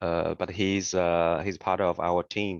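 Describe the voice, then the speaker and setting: Speaking at a fairly slow pace, a man with a non-native accent has a very deep, low pitch. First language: not English. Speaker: software application specialist. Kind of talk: webinar presentation. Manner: deliberately slow; halting, many fillers.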